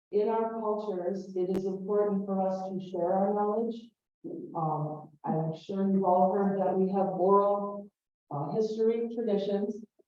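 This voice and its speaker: In an American accent, a woman talks at a fairly slow pace with monotone, flat intonation, and the room echo is audible. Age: 50s. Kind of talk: lecture-style talk to an audience.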